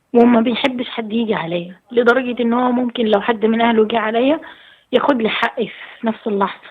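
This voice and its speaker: A woman talks at a moderate pace in a fairly high pitch. Her intonation is fairly even. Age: 20s. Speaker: caller. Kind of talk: phone-in advice call. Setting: phone call.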